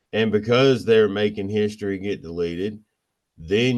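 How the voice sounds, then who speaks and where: A man with an American accent speaks at a fairly low pitch, his pitch varying in an ordinary way. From Pennsylvania, US. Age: 40s. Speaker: filmmaker. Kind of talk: casual chat. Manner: animated.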